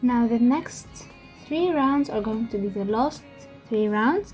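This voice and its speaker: Music plays in the background as a woman speaks. Her pitch is high and her pace fairly slow. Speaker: crochet tutorial maker. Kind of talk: casual tutorial narration. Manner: may stutter.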